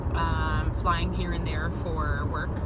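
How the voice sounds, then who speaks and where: A woman talks over loud background noise. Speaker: vlogger. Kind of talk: casual vlog chat. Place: car. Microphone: phone near.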